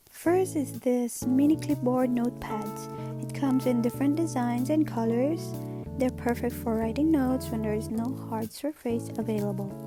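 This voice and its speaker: There is music in the background. A woman speaks over it at a moderate pace. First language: not English. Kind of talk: product haul narration.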